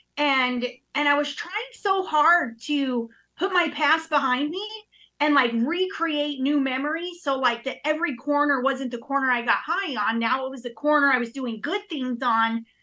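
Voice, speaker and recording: Raised, projected woman's voice, high and bright with a sharp tone, in an American accent, at a moderate pace with ordinary pitch variation. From New York (Queens), then Utah from age 11. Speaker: recovering addict sharing her story. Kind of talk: testimony.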